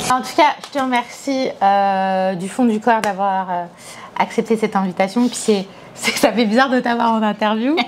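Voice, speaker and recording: A woman with a fairly high voice speaks at a moderate pace with ordinary pitch variation. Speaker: football journalist and interviewer. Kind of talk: casual interview chat. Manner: animated.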